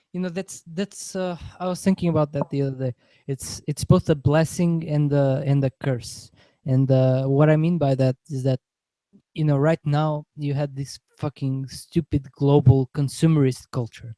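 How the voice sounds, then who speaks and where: With a Portuguese accent, a man speaks at a fairly high pitch in a dark, mellow tone with fairly even intonation, recorded dry and close with no echo. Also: moderate pace. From Portugal. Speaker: political podcast host. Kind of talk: casual political chat.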